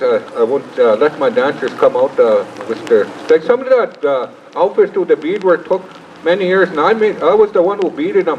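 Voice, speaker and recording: A man's high-pitched voice with very wide pitch swings, over noticeable background noise. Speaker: cultural teacher and dance troupe leader. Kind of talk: speech to an audience. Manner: halting.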